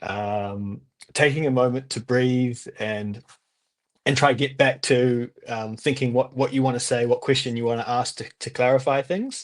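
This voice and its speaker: A man speaks with a New Zealand accent at a moderate pace. His pitch is medium and his intonation fairly even. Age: 20s. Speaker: language student. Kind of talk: interview. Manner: halting.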